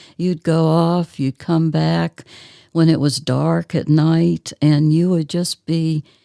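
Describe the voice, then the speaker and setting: A very slow, monotone, flat delivery in a dark, mellow tone with an American accent. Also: woman, very deep, low pitch for a woman. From Southern US. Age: 70s. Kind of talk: interview answer. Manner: soft-spoken.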